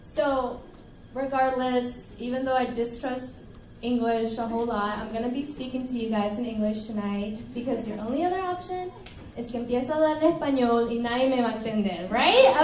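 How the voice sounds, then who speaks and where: With a Spanish accent, a woman speaks at a fairly quick pace in a high pitch with ordinary pitch variation, amid noticeable background noise and audible room echo. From Colombia, then Arlington, Texas from about age ten. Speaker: pastor. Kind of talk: sermon. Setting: church service, livestreamed. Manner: animated.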